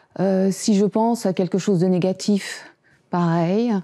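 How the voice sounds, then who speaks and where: On a very clean recording with a silent background, a woman talks at medium pitch with fairly even intonation. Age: 60s. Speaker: Parkinson's patient. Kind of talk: testimony. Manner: halting.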